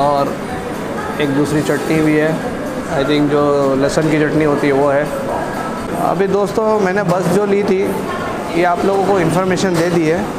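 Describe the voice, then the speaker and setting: There is music in the background as a man speaks. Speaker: travel vlogger. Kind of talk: casual vlog chat. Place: cafe. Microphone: lapel.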